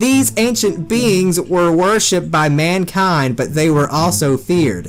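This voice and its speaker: With music playing in the background, the speech moves at a very slow pace. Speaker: gamer reading lines aloud to a voice-controlled game. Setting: playing a voice-recognition horror game.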